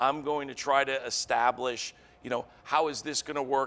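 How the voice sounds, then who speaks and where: With fairly even intonation, a male speaker talks at a medium pitch. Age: 60s. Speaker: company CEO. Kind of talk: interview. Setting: studio. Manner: halting.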